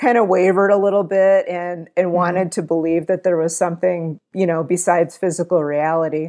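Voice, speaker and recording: Against a quiet background, a woman talks at a fairly quick pace with hardly any pauses. Her pitch is fairly low and her tone dark and mellow. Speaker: interview guest. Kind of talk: interview answer. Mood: calm, friendly. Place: home room. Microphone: earbuds.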